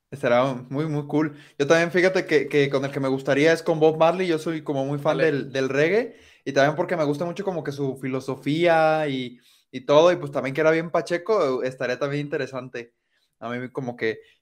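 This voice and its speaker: Fairly even intonation from a man, with a quiet background. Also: fairly high pitch for a man, moderate pace. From Mexico, coastal region. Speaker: podcast host. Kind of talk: casual interview.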